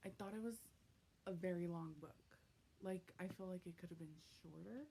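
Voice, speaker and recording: A somewhat breathy woman talks with ordinary pitch variation. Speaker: booktuber. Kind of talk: vlog. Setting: at home at night. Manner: casual, hesitant with many ums.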